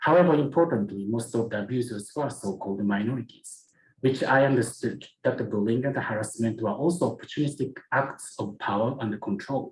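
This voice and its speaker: A man with a Japanese accent speaks at a fairly quick pace, his voice somewhat breathy. His pitch sits in the medium range, with ordinary variation. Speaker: museum curator and researcher. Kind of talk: conference presentation. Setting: academic symposium. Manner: formal.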